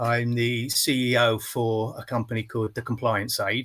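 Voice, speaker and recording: This man has a medium pitch and speaks with an English accent. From England. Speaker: company CEO. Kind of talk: interview.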